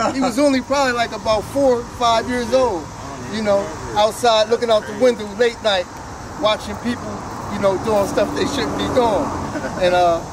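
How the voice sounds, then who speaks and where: The speech moves at a moderate pace with ordinary pitch variation and long, frequent pauses, against noticeable background noise. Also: man. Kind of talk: interview answer. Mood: proud, warm, laughing. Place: street.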